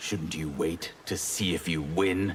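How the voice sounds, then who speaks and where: In a put-on character voice, a man growls at a very deep, low pitch and a fairly slow pace. Clear background noise can be heard. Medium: video game.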